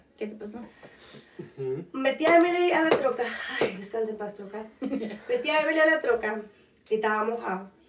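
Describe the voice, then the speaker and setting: A woman speaks at a moderate pace with long, frequent pauses and big swings in loudness over noticeable background noise. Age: 20s. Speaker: podcast co-host. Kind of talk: casual chat. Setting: livestream. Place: home room. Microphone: camera far.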